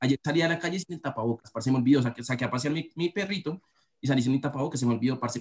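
A man speaks in a plain, everyday voice with ordinary pitch variation. The sound is dry and close, with no echo. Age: 20s. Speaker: recent university graduate. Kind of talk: casual chat.

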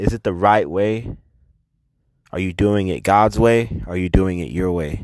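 With an American accent, a man speaks at a very deep, low pitch and a fairly slow pace, with ordinary pitch variation and long, frequent pauses. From Texas, south side of Fort Worth. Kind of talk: casual personal testimony. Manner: earnest, fervent preaching cadence with rising rhetorical questions; stammering repetitions, laughing mid-sentence.

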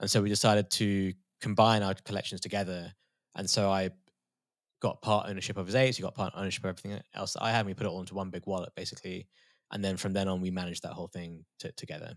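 The speech comes at a very fast pace in a British accent. The recording is very clean, with a silent background. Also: man, fairly low pitch for a man. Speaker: crypto artist and former trader. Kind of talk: casual interview chat.

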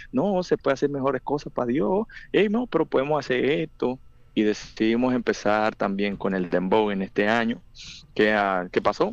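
Against a quiet background, a man speaks at a medium pitch and a moderate pace with very wide pitch swings. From Colombia, Buenaventura, Valle del Cauca. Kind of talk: interview. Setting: phone call.

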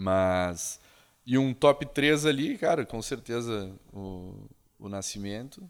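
Loudness swings widely as a man speaks very slowly at a medium pitch. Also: lively intonation. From Caxias do Sul, southern Brazil. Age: 30s. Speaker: digital agency founder. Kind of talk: casual interview.

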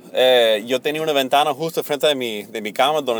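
The recording of a man with an American accent is dry and close, with no echo. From United States. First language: English (speaking Spanish). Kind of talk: personal testimony. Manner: halting, many fillers.

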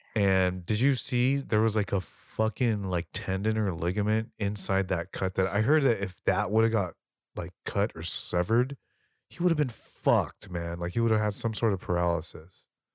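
In a very clean recording with a silent background and a dry, close sound with no echo, a man talks at a fairly low pitch. His tone is animated, his pace moderate, and his pitch variation ordinary. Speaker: podcast co-host, martial artist. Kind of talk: casual chat. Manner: animated, profane, casual.

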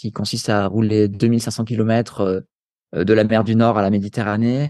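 Against a quiet background, a man at medium pitch speaks in a flat monotone. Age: 30s. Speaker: sports nutrition coach and endurance athlete. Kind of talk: interview conversation. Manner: casual, filler-heavy.

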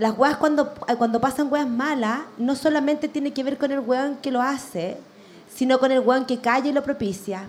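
This woman has a high pitch and a Chilean accent. She keeps a moderate pace with fairly even intonation. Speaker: media director. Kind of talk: live podcast discussion. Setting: stage with audience.

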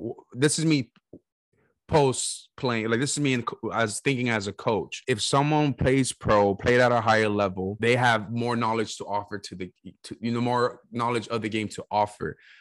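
With an American accent and a medium pitch, a man speaks at a moderate pace in a dry, close sound with no echo and a quiet background. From US West Coast. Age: 30s. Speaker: podcast host, former college soccer player and coach. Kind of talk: casual chat. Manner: animated.

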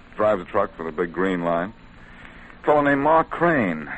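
At a fairly slow pace, a man does a put-on character voice pitched low, with big pitch swings and a fairly bright tone.

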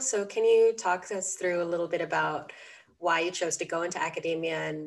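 Medium in pitch with ordinary pitch variation, a woman speaks at a moderate pace. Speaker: podcast host and university student. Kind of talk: interview conversation.

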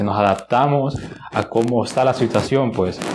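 There is noticeable background noise behind this man. He speaks at medium pitch and a moderate pace, with ordinary pitch variation. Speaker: communications student representative. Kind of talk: casual chat.

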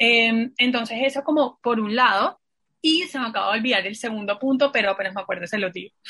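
A woman talks at a very fast pace in a bright, sharp tone. Her pitch is fairly high, with ordinary variation. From Colombian Caribbean coast (Santa Marta). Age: 20s. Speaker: university graduate and staff member. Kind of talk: casual chat.

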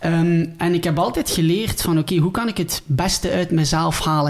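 A man speaks with a Ghent accent at a fairly high pitch, with ordinary pitch variation. Noticeable noise sits in the background. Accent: Flemish, Ghent dialect. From Belgium, Ghent. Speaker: dietitian, former pro footballer. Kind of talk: podcast interview.

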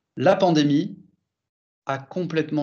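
With ordinary pitch variation, a man's voice sits fairly high. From France. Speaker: sales director at an online voting company. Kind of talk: interview. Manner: halting, many repetitions and fillers.

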